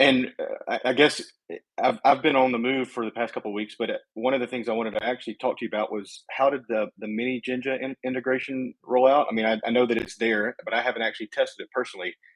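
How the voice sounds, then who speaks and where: Talking at a very fast pace, a man with an American accent uses a medium pitch and monotone, flat intonation, in a dry, close recording with no echo. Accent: southern US, thick at times. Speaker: community event host. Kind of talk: casual chat.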